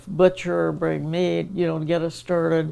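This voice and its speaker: Noticeable background noise sits behind a woman with a fairly low voice. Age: 80s+. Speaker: former state representative and educator. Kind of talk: interview answer.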